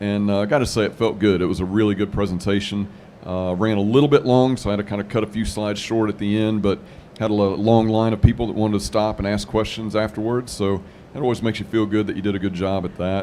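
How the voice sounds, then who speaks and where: Talking very fast in a Southern US accent, a man keeps his fairly low voice at a fairly even intonation. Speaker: manufacturing podcaster and presenter. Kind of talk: casual panel chat. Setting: live trade show lounge.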